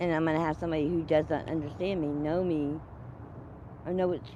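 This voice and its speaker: Audible room echo carries a woman's dark, mellow tone. She speaks at a moderate pace with a fairly low pitch. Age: 60s. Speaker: unhoused person interviewed on a livestream. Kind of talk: casual interview.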